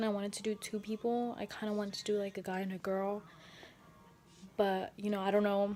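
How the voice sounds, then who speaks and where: A soft-spoken woman talks at a fairly quick pace with a medium pitch. Her intonation is monotone and flat. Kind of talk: casual talk to camera.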